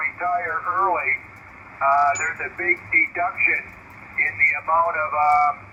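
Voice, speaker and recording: A man with a high voice speaks rather slowly, and background noise is clearly present. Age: 60s. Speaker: retired house painter, radio operator. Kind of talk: radio contact chat. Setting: radio call.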